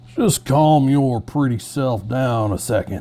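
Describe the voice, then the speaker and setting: Putting on a drawling character voice, a man speaks at a fairly slow pace and medium pitch with ordinary pitch variation. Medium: read story. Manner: slow drawl.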